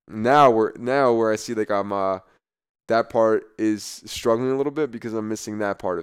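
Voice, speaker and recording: With an American accent, a man speaks in a plain, everyday voice at a medium pitch and a moderate pace. His intonation is fairly even, on a very clean recording with a silent background. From New Jersey, US. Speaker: former college football player. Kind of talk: interview conversation. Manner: casual, filler-heavy with repetitions.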